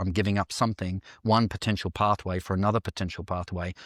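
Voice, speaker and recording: Talking at a very fast pace in an Australian accent, a man keeps a fairly low pitch and fairly even intonation, with a dry, close sound and no echo. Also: very clean recording, silent background. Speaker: dancer and actor. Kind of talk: interview podcast.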